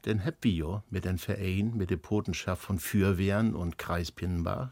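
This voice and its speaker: Fairly low in pitch with ordinary variation, a man speaks at a fairly slow pace in a dark, mellow tone. The recording is very clean and dry, close with no echo, against a silent background. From northern Germany. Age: 70s. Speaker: folk musician, band founder. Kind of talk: casual chat.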